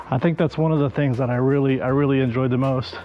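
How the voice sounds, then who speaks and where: Music plays in the background while a man speaks at a fairly high pitch. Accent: American. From United States. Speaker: YouTuber, interviewee. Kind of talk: interview. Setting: outdoors. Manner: hesitant, many fillers.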